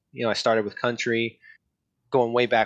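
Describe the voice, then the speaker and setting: Delivering his words at a very fast pace, the man speaks with an American accent. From US Southwest. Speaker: nurse. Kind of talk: casual chat. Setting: remote call.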